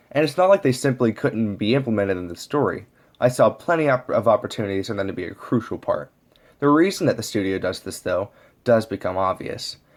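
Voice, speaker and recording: In a very clean recording with a silent background, a man talks at a fairly quick pace and medium pitch with very wide pitch swings. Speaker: amateur movie reviewer. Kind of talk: scripted movie review. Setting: low-quality home microphone. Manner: some stuttering.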